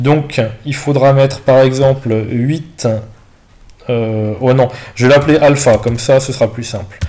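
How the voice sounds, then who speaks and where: A man speaks at a fairly slow pace with a dark, mellow tone, medium pitch, fairly even intonation, and long, frequent pauses. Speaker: math teacher. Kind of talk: online tutorial session correcting exercises. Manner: hesitant, many fillers.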